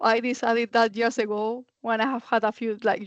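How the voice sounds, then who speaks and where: A woman's fairly high, fairly quick voice with a Spanish accent, dry and close with no echo, against a quiet background. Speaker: architect. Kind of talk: panel discussion.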